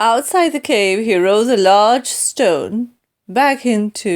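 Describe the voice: Ordinary pitch variation in plain reading aloud, set against a quiet background.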